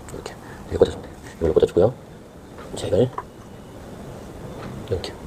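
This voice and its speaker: Very fast whispering over noticeable background noise. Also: man. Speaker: home gardener. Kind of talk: tutorial. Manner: halting.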